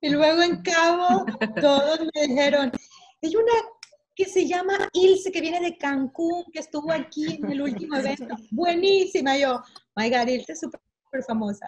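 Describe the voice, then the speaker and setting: Fairly slow pace and lively intonation from a woman with a high voice. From Barranquilla, Colombia. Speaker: wedding professional. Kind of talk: online panel discussion.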